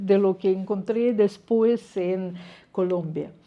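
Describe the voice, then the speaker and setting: A woman with a Russian accent at a fairly slow pace. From Russia, Moscow. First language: Russian (speaking Spanish). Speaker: scientist. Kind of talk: lecture. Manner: hesitant, with fillers.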